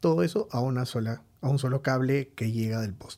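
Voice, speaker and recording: Lively intonation runs through a man's dark, mellow voice. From Peru, Lima. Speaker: IT security entrepreneur. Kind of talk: interview.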